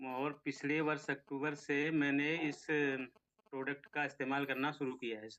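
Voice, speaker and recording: Big swings in loudness mark this man's bright, sharp voice, which keeps a fairly even intonation. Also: fairly high pitch for a man. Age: 60s. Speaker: product user. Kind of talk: testimony. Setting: video call.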